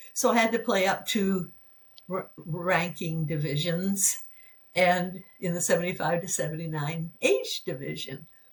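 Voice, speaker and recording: Speaking at a fairly slow pace, a woman with a fairly low, somewhat breathy voice uses ordinary pitch variation. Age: 90s. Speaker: pickleball player. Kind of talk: interview answer.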